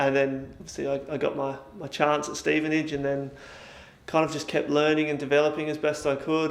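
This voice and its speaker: Speaking with a slight Australian accent, a man has a fairly high pitch and monotone, flat intonation. Audible room echo and noticeable background noise accompany him. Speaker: sports scientist at a football club. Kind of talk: interview. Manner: hesitant, many fillers.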